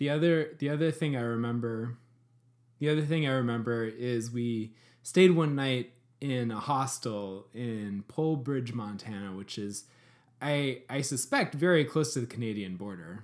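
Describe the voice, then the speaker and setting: Medium pitch from a man with an ordinary speaking voice, ordinary pitch variation, and a moderate pace. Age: 30s. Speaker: podcast co-host. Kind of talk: casual chat. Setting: video call.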